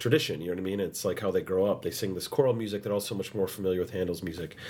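A raspy man's voice in an American accent carries ordinary pitch variation. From United States. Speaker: opera singer. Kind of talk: interview.

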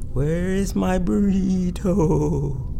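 A man performs a put-on character voice. Clear background noise runs behind him. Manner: groaning.

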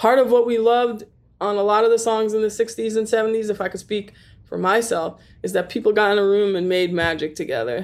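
A woman with an American accent talks at a fairly quick pace in a fairly high pitch, with fairly even intonation. It is an unremarkable speaking voice, on a very clean recording with a silent background. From New York (Staten Island). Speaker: recording engineer and studio owner. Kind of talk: interview.

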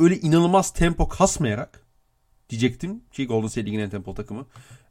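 On a very clean recording with a silent background, a man speaks at a moderate pace with a fairly high pitch and lively intonation. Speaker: NBA podcast host. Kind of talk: casual chat.

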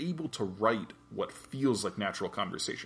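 Lively intonation colors an unremarkable speaking voice that keeps a moderate pace. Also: man. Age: 30s. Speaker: podcast co-host. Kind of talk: casual chat.

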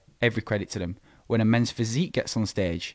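A man with a Lancashire accent, fairly low in pitch, at a very fast pace, on a very clean recording with a silent background. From northern England, Preston, Lancashire. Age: 20s. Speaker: amateur bodybuilder. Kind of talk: casual interview. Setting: studio.

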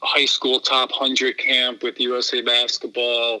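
A man speaks in a normal speaking voice at medium pitch. His pace is fairly slow. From Philadelphia area, US. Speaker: video editor. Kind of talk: interview.

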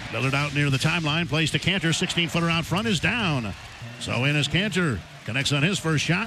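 Speaking at a fairly quick pace with very even loudness, a man with a fairly high pitch is heard over noticeable background noise. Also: ordinary pitch variation. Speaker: radio play-by-play announcer. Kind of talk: live radio play-by-play commentary. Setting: courtside at a basketball game, radio broadcast. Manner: rapid-fire, animated, rising excitement on big plays; clipped, fast, call-by-call narration.

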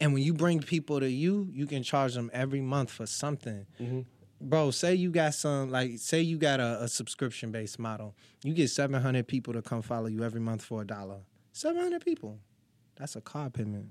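A man with an American accent speaks in a plain, everyday voice at medium pitch and a fairly quick pace. His pitch varies in an ordinary way on a very clean recording with a silent background. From Virginia Beach, Virginia. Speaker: rapper. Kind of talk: casual chat.

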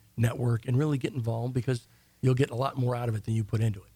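Very fast in pace, a man talks at a medium pitch in a dark, mellow tone that is somewhat breathy, with fairly even intonation. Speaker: financial advisor. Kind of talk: radio interview. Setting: radio studio.

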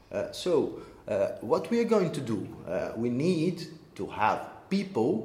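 Speaking very slowly with a Portuguese accent, a man is heard with audible room echo. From Brazil. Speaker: social entrepreneur, co-working space co-founder. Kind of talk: interview. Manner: halting, many repeated words.

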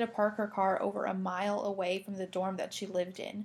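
Very fast speech comes from a woman with a medium pitch. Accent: American. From US Midwest, Indiana. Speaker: college student podcast co-host. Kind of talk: casual chat.

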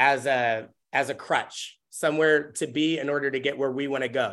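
A man with an American accent talks in an ordinary speaking voice, fairly high-pitched with fairly even intonation, against a quiet background. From US Pacific Northwest, Tacoma, Washington. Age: 30s. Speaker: dancer and choreographer. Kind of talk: casual chat.

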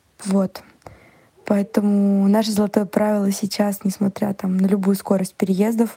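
A woman is speaking. Her pace is fairly slow. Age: 30s. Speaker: podcast listener. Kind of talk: recorded voice message. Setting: recorded voice message.

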